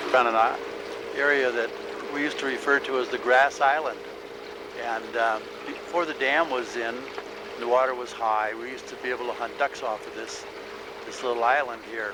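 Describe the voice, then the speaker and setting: Speech comes at a fairly quick pace in a relaxed tone with fairly even intonation, long, frequent pauses, big swings in loudness, audible room echo and noticeable background noise. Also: man, medium pitch for a man. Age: 60s. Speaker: family video maker narrating cabin history. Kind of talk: casual home video narration. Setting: outdoors on a boat on a river. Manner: relaxed, hesitant with fillers.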